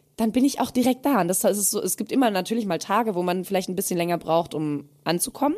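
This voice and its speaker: Over noticeable background noise, a woman talks at a very fast pace and medium pitch with lively intonation. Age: 30s. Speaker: podcast co-host. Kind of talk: casual chat.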